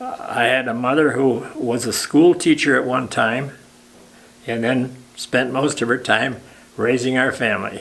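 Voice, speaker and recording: A man with an American accent, medium pitch, monotone, flat intonation and a fairly slow pace. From Michigan. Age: 90s; old. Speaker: war veteran. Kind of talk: interview answer.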